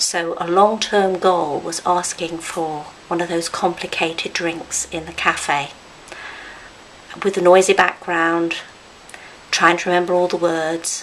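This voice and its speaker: Through noticeable background noise, a woman speaks at a very slow pace and a fairly low pitch, with monotone, flat intonation. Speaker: speech and language therapist, stroke survivor. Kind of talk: personal testimony. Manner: deliberate.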